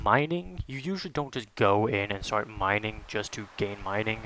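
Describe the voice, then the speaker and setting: A man's relaxed, bright and sharp voice with ordinary pitch variation. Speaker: gaming YouTuber. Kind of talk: casual gameplay commentary. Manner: calm, quiet and slow; filler-heavy, relaxed.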